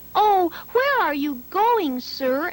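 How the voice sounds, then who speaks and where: A woman's squeaky put-on character voice at an extremely high pitch, with very wide pitch swings. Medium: read story. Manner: plaintive, sing-song.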